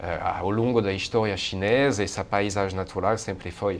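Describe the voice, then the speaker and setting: His voice sits fairly low in pitch. The man talks in a French accent. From France. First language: French (speaking Portuguese). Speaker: university researcher on Asia. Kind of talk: interview. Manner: hesitant, many fillers.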